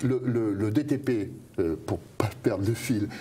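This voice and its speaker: Noticeable background noise is present throughout. Over it, a man talks at a medium pitch. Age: 60s. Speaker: pharmacist and author, whistleblower. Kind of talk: interview. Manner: hesitant, many fillers and repetitions.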